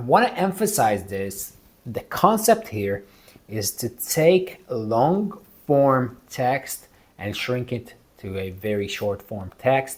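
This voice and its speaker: A man with a non-native accent at a medium pitch, very slow pace, very wide pitch swings and big swings in loudness. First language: not English. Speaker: real estate investor and video creator. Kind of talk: casual tutorial talk to camera.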